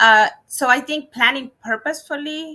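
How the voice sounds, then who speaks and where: A woman speaks in a Spanish accent. Her tone is bright and sharp. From Dominican Republic, raised in New York from age seven. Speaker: education leader, former superintendent. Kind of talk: lecture Q&A answer. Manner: halting, many fillers.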